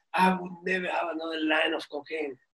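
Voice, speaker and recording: Someone speaks at a fairly quick pace in a raised, projected voice. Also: man. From Cuba, raised in US (New York). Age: 60s. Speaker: violinist. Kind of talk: interview. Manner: halting with repetitions.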